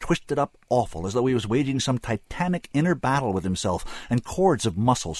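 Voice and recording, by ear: A natural voice, reading aloud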